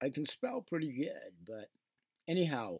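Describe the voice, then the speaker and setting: In a dark, mellow tone, a man speaks at a moderate pace, and the sound is dry and close with no echo. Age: 60s. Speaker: online seller and radio show host. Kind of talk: casual video monologue, product talk. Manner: rambling, conversational.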